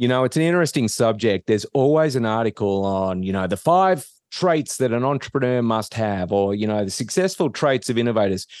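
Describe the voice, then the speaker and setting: A man speaks at a fairly quick pace with lively intonation and hardly any pauses. The background is quiet. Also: medium pitch for a man. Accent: Australian. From Australia. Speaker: business professor. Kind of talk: interview.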